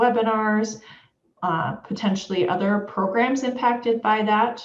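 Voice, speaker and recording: Against audible room echo, a woman speaks at a moderate pace in a fairly high pitch, somewhat breathy and with fairly even intonation. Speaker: education official presenting webinar. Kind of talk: webinar presentation.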